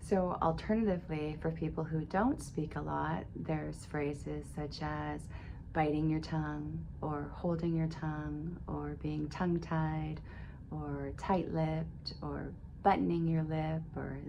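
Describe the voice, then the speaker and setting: The speech comes at a fairly slow pace, and audible room echo can be heard. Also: woman. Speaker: video blogger documenting dental treatment. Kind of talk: personal vlog update. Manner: reflective, conversational.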